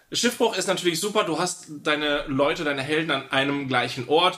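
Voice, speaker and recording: Over noticeable background noise, a man with a fairly high pitch speaks at a fairly quick pace, with hardly any pauses and lively intonation. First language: grew up trilingual (speaking German). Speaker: podcast co-host, tabletop roleplayer. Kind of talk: casual chat.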